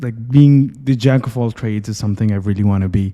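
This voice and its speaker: This man has a dark, mellow tone and a medium pitch, speaking with a Pakistani accent. His pace is moderate and his pitch variation ordinary. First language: Urdu. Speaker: medical student and IELTS teacher. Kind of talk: interview podcast.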